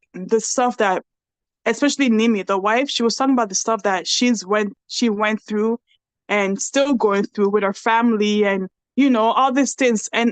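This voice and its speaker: A woman with a Nigerian accent, fairly high pitch, fairly even intonation and a moderate pace. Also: dry, close sound with no echo. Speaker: podcast host and reality TV cast member. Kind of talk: casual interview chat.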